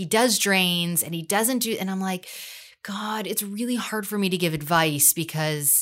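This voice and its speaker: A woman uses an ordinary speaking voice with lively intonation at a fairly slow pace. The recording is very clean, with a silent background. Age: 40s. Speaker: cosmetic surgery patient sharing her experience. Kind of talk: casual interview.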